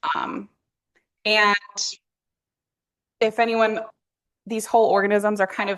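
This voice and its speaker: At a moderate pace, a woman speaks at a medium pitch over a quiet background. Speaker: PhD student researcher giving a talk. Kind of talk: lecture. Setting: workshop talk with audience. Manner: loud.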